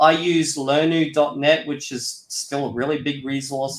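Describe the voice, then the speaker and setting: An ordinary speaking voice at a moderate pace. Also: man. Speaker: Esperanto YouTuber. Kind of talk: interview. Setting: live stream interview. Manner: casual, filler-heavy.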